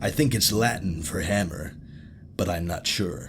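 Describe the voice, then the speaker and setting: In a put-on character voice, a man speaks at a moderate pace with a raspy, very deep, low pitch over clear background noise. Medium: read story. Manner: friendly, chatty.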